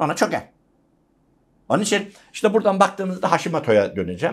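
The man's voice sits high in pitch. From rural Turkey. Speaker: university lecturer. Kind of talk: interview. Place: studio.

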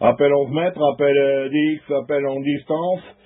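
This man's voice sits at a medium pitch with a slightly husky edge. He keeps a moderate pace and fairly even intonation.

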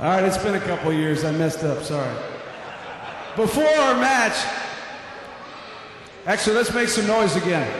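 With strong room echo and light background noise, a man speaks in a high voice at a moderate pace, his pitch swinging very widely between long, frequent pauses. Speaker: ring announcer. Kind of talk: wrestling ring announcer crowd hype. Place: stadium. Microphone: handheld.

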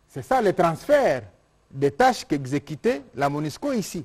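Against a quiet background, a man talks at a moderate pace, his pitch swinging very widely. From DR Congo. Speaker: government minister. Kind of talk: press conference. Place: hall. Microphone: lapel.

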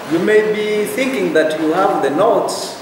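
The speech moves at a fairly slow pace. There is audible room echo along with noticeable background noise. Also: man. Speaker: lecturer. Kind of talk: lecture. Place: classroom. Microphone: camera far.

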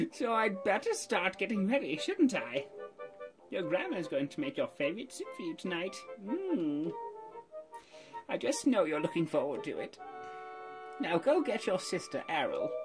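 A man uses a put-on character voice pitched high, speaking at a moderate pace with long, frequent pauses while clear music plays in the background.

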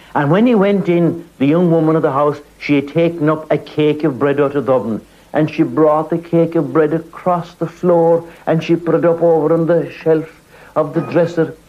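In an Irish accent, a man with a fairly high pitch talks at a moderate pace, his loudness very even. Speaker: storyteller. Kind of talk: storytelling. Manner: animated.

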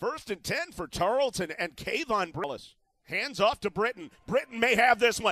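Raising and projecting his voice, a man sounds excited, his pitch swinging very widely in a dry, close sound with no echo. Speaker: play-by-play announcer. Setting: broadcast booth. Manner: rises to excited disbelief on big plays.

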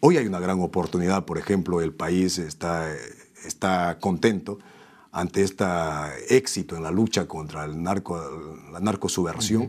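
Against a quiet background, a man with a very deep, low pitch speaks at a moderate pace, leaving long, frequent pauses. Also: ordinary pitch variation. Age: 40s. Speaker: politician; politician, interview guest. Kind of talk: interview. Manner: halting. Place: studio. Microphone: lapel.

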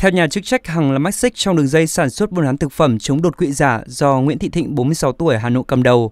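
Talking very fast with hardly any pauses, a man with a fairly high voice shows ordinary pitch variation in a dry, close sound with no echo. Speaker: news reader. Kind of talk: news reading. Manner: formal.

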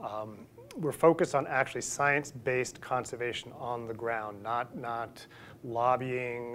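A man talks at a fairly slow pace with fairly even intonation, with light background noise behind him. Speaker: invited lecturer. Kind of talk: lecture. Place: hall. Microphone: lapel.

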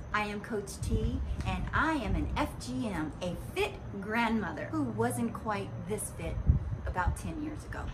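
The background noise is noticeable. Beneath it, a woman talks at a fairly slow pace. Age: 60s. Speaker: fitness instructor. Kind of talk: promotional self-introduction. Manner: animated. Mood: warm and upbeat. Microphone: phone near.

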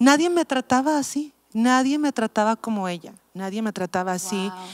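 At a moderate pace, a woman with a fairly high pitch speaks over a quiet background. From Mexico City. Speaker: pastor. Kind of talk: casual chat. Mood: reflective, personal story. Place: studio. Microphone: handheld.

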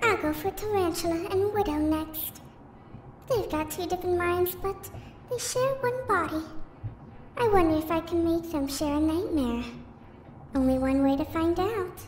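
Against clear background noise, a woman with extremely high pitch and lively intonation talks at a moderate pace, pausing long and often. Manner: chirpy, scheming, falsely caring.

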